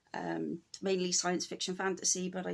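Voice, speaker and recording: A woman with a British accent at a moderate pace. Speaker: cross stitch YouTuber. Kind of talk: casual vlog talk to camera. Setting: at home. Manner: hesitant, many fillers.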